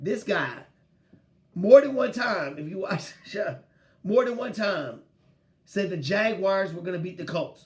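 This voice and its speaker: Loud and animated, a high-pitched man talks at a fairly slow pace with lively intonation and long, frequent pauses over noticeable background noise. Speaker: sports podcast host. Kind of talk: casual sports talk.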